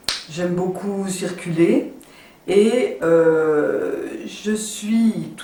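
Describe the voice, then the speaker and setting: A woman speaks with lively intonation. Audible room echo and noticeable background noise are present. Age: 60s. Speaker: network marketing entrepreneur. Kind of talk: sales pitch. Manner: hesitant, many fillers.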